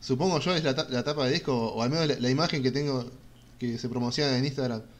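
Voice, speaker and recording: In a Rioplatense accent, a man speaks at a moderate pace and medium pitch with fairly even intonation. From Argentina. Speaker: podcast host. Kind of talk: casual interview. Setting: live stream.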